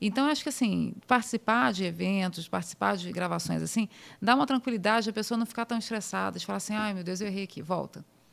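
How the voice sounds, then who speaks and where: A woman's medium-pitched voice at a very fast pace, ordinary pitch variation, on a very clean recording with a silent background. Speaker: surgeon. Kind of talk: podcast interview. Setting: podcast studio.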